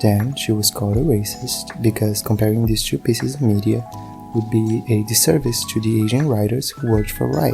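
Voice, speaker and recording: With music in the background, a speaker with a non-native accent talks at a moderate pace. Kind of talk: video essay commentary. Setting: low-quality home recording.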